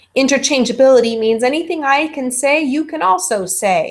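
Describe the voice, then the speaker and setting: A woman talks with lively intonation. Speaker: college instructor. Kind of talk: lecture. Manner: fast.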